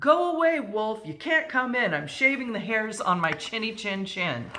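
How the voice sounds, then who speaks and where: Someone shouts in a put-on character voice, raised and projected at a fairly high pitch. The pace is moderate. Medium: read story. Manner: rude, shouting.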